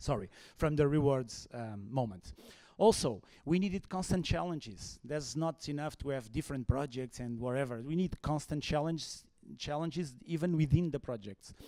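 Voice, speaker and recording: This man has a fairly high pitch and a dark, mellow tone. He speaks in a Portuguese accent. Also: lively intonation, moderate pace, very clean recording, silent background. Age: 40s. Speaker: HR consultant. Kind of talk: conference talk. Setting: stage with audience. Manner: halting.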